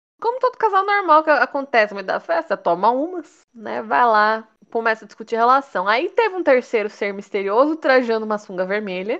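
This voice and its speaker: Her pitch fairly high and swinging very widely, a woman speaks at a fairly quick pace with hardly any pauses. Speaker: podcast co-host. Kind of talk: casual chat.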